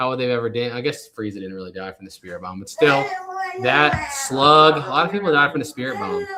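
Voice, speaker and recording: A man with an American accent, medium pitch, a very fast pace, very wide pitch swings and big swings in loudness. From northern Virginia, US. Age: 30s. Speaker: YouTuber, treasure hunting streamer. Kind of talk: casual live stream chat.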